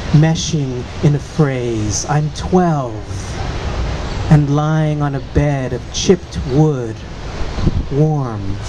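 Over noticeable background noise, a fairly high-pitched man with an American accent speaks at a very slow pace, with ordinary pitch variation and long, frequent pauses. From San Francisco, California. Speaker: poet. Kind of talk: poetry reading. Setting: outdoor public reading. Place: street. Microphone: studio mic.

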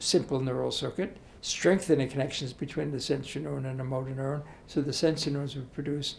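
A man speaks at a very fast pace in a somewhat breathy voice. There is light background noise. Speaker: interviewee. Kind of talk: interview answer. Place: hall. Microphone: handheld.

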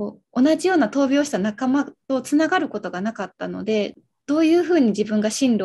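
The voice is somewhat breathy with a dark, mellow tone, moving at a fairly quick pace with lively intonation. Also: woman. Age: 20s. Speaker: medical social worker and childhood leukemia survivor; guest. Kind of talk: casual chat. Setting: live stream. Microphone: video call.

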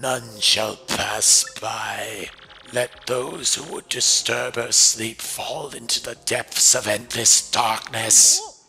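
A man puts on a raspy character voice at a medium pitch. He speaks at a very slow pace over faint background music. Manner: ominous, warning.

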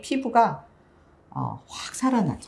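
A woman speaking at a fairly slow pace. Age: 50s. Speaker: pharmacist and author, cancer survivor; guest. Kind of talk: interview. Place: studio. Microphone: lapel.

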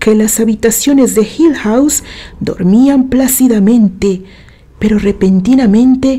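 An unforced reading voice, its pitch rising and falling in an ordinary way

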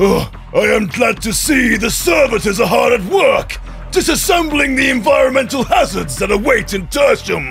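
A man shouting at a moderate pace, clear music in the background. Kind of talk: fire-and-brimstone sermon. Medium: voice reel. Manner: fervent, shouting, pompous.

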